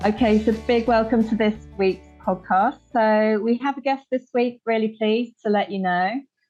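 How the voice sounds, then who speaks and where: A woman talks at a fairly high pitch and a moderate pace, with fairly even intonation and hardly any pauses. Music plays in the background. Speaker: Pilates teacher and podcast host. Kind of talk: podcast intro.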